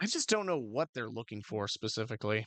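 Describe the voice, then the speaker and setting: Putting on a raspy character voice, a man races along at a very fast pace with a medium pitch and lively intonation, the sound dry and close with no echo. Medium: actual play. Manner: hesitant, stammering.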